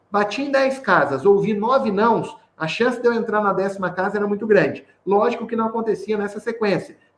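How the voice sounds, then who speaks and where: With ordinary pitch variation, a man talks at a high pitch. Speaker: sales trainer. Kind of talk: online training session. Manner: fast; animated.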